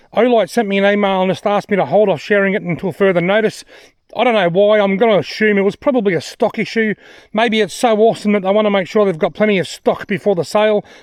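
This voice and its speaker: This man has an Australian accent and a high pitch. He talks at a fairly quick pace with ordinary pitch variation. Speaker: outdoor gear reviewer. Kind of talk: product review vlog. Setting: outdoors in the bush.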